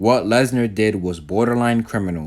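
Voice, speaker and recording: The recording is very clean with a silent background, and a man speaks with ordinary pitch variation. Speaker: wrestling show reviewer. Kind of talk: casual show review talk.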